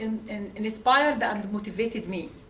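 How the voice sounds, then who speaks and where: A woman speaks at a moderate pace with an Arabic accent. Noticeable background noise and audible room echo fill the recording. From Egypt. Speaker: immigrant writer. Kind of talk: speech at a book launch. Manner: halting, with many fillers.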